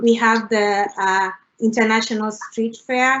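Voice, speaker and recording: The woman has an East African accent and a fairly high pitch. Her intonation is monotone and flat. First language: Swahili. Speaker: international graduate student panelist. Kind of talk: panel discussion. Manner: frequent fillers (uh, you know, like).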